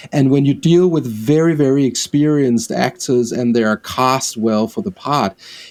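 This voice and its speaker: A man with a medium-pitched voice talks at a moderate pace, his pitch varying in an ordinary way. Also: dry, close sound with no echo. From Denmark. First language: Danish. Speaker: film director. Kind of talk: interview.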